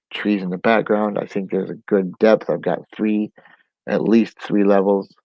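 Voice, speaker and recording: The man's voice is rather low, and he talks at a moderate speed. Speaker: comic book artist. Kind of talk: casual vlog. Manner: hesitant, many fillers.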